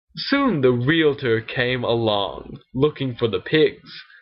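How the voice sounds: The recording presents a natural reading voice.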